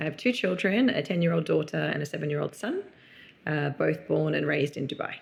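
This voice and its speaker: A woman with an Australian accent at a fairly quick clip. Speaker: entrepreneur mother. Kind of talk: casual interview.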